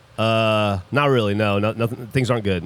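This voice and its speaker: A man's put-on character voice, gravelly and medium-pitched, at a moderate pace. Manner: unwell, downbeat.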